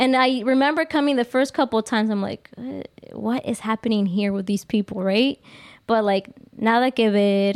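A woman with an unremarkable speaking voice, fairly high in pitch, talks at a moderate pace with ordinary pitch variation in a very clean recording with a silent background. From Mexico (Jalisco), raised in US from age five. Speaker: livestream podcast guest, office worker. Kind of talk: casual chat, personal testimony. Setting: live-streamed video podcast.

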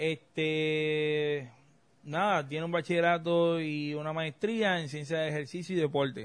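A man speaks in an ordinary speaking voice. His pitch is fairly high and his pace fairly slow. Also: fairly even intonation. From Puerto Rico. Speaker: political scientist podcast host. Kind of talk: casual chat.

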